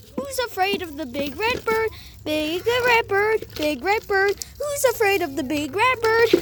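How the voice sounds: A cartoonish character voice at an extremely high pitch comes through with clear background noise. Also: moderate pace.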